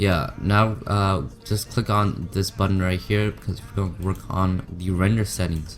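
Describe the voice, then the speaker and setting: Over music in the background, a man with a very deep, low pitch speaks at a fairly slow pace with hardly any pauses. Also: ordinary pitch variation. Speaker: software tutorial maker. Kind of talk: tutorial. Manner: hesitant, many fillers.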